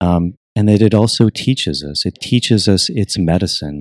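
A man with an American accent has a plain, everyday voice, a fairly low pitch and ordinary pitch variation, recorded very cleanly with a silent background and a dry, close sound with no echo. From United States. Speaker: ayahuasca retreat facilitator. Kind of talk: casual interview conversation. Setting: in person in Iquitos, Peru.

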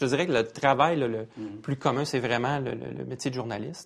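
A man talks at a medium pitch. The intonation stays fairly even. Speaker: security expert, former intelligence agent. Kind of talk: panel discussion.

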